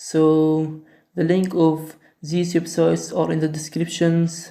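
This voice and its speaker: A non-native accent at a very slow pace. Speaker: coding tutorial maker. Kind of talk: screen-recording tutorial narration. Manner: hesitant, with filler sounds.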